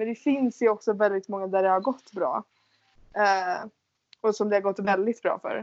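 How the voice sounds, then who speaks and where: At a moderate pace, a woman talks in a normal speaking voice, medium in pitch with fairly even intonation. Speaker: podcast host, exchange student. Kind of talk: casual chat.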